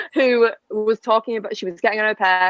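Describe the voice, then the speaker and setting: A moderate pace with a British accent. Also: woman. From England. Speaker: au pair and podcast co-host. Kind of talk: casual chat.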